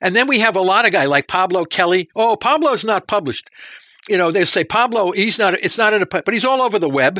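A raised, projected voice with a bright, sharp tone races at a very fast pace and lively intonation while holding a very even loudness. The sound is dry and close, with no echo. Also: man, high pitch for a man. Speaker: professor. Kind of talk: interview answering questions about research.

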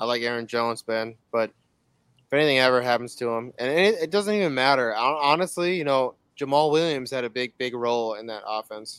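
A man with an American accent and an unremarkable speaking voice, medium pitch, ordinary pitch variation and a fairly quick pace. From South Carolina. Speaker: fantasy football player. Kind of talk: casual chat.

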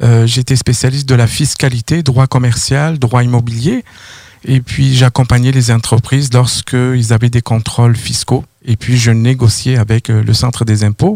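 A dark, mellow, somewhat breathy voice at a fairly slow pace, with fairly even intonation, very even loudness and a dry, close sound with no echo. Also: man, medium pitch for a man. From southern France, near Toulouse. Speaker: credit bureau consultant. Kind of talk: radio interview.

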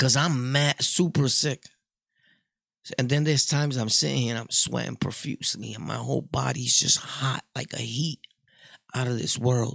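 The man's medium pitch carries vocal fry and ordinary pitch variation at a moderate pace. The sound is dry and close, with no echo. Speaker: podcaster. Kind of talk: casual monologue storytelling. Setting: home studio. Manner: animated.

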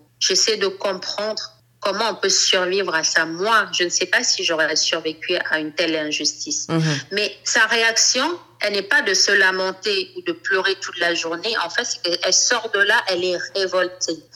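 A woman's medium-pitched voice, with ordinary pitch variation, comes through over noticeable background noise. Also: fairly slow pace. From Cameroon. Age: 40s. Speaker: fashion designer and LGBT activist. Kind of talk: interview.

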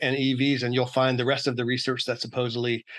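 A man at medium pitch with an American accent, monotone and flat in intonation, against a quiet background. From Oakland, California. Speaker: author and former solar industry worker. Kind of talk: interview conversation.

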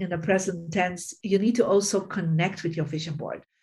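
Over a quiet background, a woman speaks at a moderate pace, somewhat breathy, with fairly even intonation. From Belgium, Bruges. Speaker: feng shui teacher and author. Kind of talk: interview.

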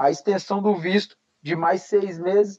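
The recording is dry and close with no echo, carrying a man's high-pitched voice in a dark, mellow tone. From Paraná, Brazil. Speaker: MMA fighter. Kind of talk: casual chat. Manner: animated.

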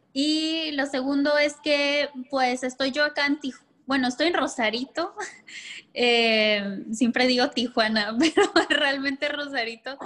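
A woman with a high voice talks fairly slowly. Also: ordinary pitch variation. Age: 30s. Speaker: psychologist and sexologist. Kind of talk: casual interview.

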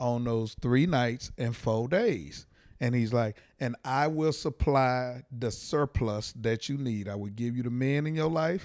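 At a fairly slow pace, a man with an American accent and an ordinary speaking voice talks at medium pitch with ordinary pitch variation, on a very clean recording with a silent background. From Texas, Fort Worth. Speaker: comedian. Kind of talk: casual chat. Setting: in a parked minivan used as studio.

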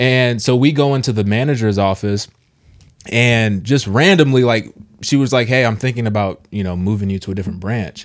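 A man with a plain, everyday voice speaks in a medium pitch with ordinary pitch variation on a very clean recording with a silent background. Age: young. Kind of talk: casual chat. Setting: studio.

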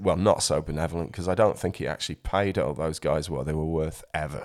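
A man with a South Yorkshire accent talks at a fairly quick pace with ordinary pitch variation, captured in a very clean recording with a silent background. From South Yorkshire, England. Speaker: musician and former DJ. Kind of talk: casual interview chat.

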